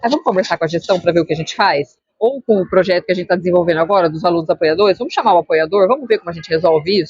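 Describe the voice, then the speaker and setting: A woman of medium pitch talks at a very fast pace. Her intonation is lively. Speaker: school psychologist. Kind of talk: interview answering student questions.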